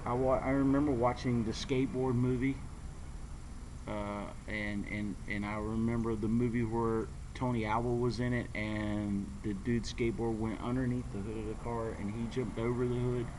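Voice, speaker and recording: A man with an American accent and a medium pitch speaks at a moderate pace in a monotone, flat intonation, with audible room echo. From North Carolina. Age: 40s. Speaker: skateboarder vlogger. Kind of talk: casual vlog monologue. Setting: outdoors at a skate park. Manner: halting, many fillers and repeats.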